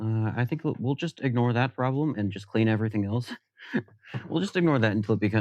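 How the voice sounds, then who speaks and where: Very fast talking from a man, with ordinary pitch variation. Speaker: streamer. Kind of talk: live stream tinkering chat. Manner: halting, with long silences.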